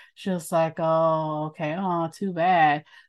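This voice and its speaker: A plain, everyday voice from a woman, fairly low in pitch, with fairly even intonation. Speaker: podcast host. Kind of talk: casual interview chat.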